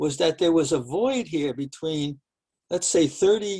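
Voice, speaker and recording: Fairly high-pitched male speech in an unremarkable speaking voice, with lively intonation and a moderate pace. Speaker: professor. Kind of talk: lecture.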